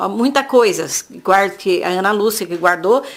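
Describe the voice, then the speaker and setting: Lively intonation at a moderate pace from a woman with a plain, everyday voice. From Brazil, São Paulo state (Jacareí). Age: 60s. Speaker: craftswoman. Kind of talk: oral history interview. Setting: at home.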